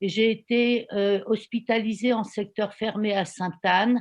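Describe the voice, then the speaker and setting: This woman talks very slowly. She uses a fairly high pitch. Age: 60s. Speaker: volunteer giving testimony. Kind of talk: testimony.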